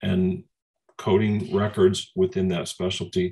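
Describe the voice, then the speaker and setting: A man speaks at a moderate pace. His voice is fairly low, with ordinary pitch variation. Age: 60s. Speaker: coding training company leader. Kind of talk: Q&A in online training session. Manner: halting, with false starts.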